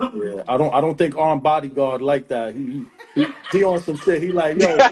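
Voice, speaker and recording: With lively intonation and a fairly high pitch, a man talks at a moderate pace as noticeable background noise carries on. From New York City. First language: Spanish. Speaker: podcast host. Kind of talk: casual chat. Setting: Instagram live stream.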